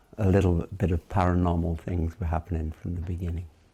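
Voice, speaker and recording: This man's very deep, low voice has a dark, mellow tone, somewhat breathy and delivered in a monotone, flat way. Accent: Welsh. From Wales, Cardiff. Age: 70s. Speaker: interviewee, Tibetan studies figure. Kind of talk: oral history interview. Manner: hesitant, with many fillers.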